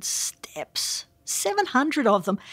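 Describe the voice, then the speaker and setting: This is a woman with an Australian accent and a somewhat breathy voice. The recording is very clean with a silent background and has a dry, close sound with no echo. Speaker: professor. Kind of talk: interview.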